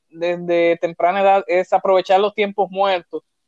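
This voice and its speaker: A man speaks with a Dominican accent. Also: dry, close sound with no echo. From Dominican Republic, Santo Domingo. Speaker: entrepreneur, economist. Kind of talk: interview. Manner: hesitant, many fillers.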